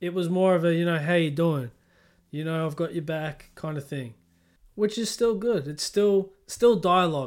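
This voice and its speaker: A man speaks at a high pitch in a very clean recording with a silent background. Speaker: podcast host. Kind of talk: scripted intro and casual interview. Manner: upbeat, enthusiastic.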